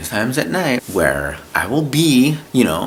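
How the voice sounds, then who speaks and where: A man speaks over noticeable background noise. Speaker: YouTuber vlogger. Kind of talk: casual vlog monologue. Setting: at home at night, to camera. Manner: halting, repetitive.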